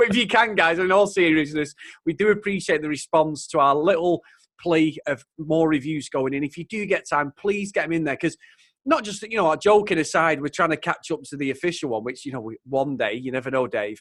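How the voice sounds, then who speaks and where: In a dry, close sound with no echo, a man with a Mancunian accent and a fairly high pitch talks at a fairly quick pace, his tone animated and his intonation lively. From Manchester, England. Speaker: podcast host. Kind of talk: casual chat.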